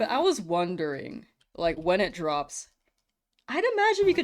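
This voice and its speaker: Very wide swings in pitch from a woman with an American accent. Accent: sometimes heard as slightly Canadian. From California, US. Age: 20s. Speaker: video game streamer. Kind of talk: casual livestream chat reading viewer messages. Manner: casual, conversational.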